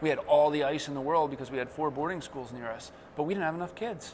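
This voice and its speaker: A man at a very fast pace, fairly high in pitch, with ordinary pitch variation. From New Jersey. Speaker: hockey coach and former player. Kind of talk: interview. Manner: casual, with many fillers.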